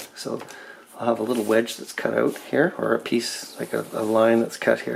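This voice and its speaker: A man talks at a moderate pace with a fairly low pitch. Noticeable background noise can be heard. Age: middle-aged. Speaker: car restoration hobbyist. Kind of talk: DIY tutorial walkthrough. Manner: casual, many fillers.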